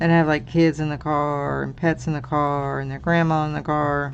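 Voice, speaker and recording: Moderate-paced speech with music in the background. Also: woman. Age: 60s. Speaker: crafting channel host. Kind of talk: casual livestream chat while coloring. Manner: casual, chatty.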